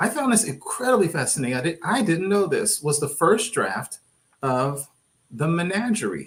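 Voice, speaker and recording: A man with a slight Texas accent speaks at a moderate pace. His high voice makes very wide pitch swings. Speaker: podcast co-host. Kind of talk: casual panel discussion.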